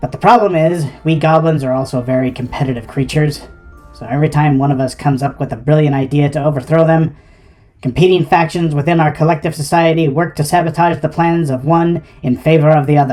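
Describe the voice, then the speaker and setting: A put-on character voice rattles off lines at a very fast pace in a middle pitch. Music plays in the background. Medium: solo performance. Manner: pompous, theatrical.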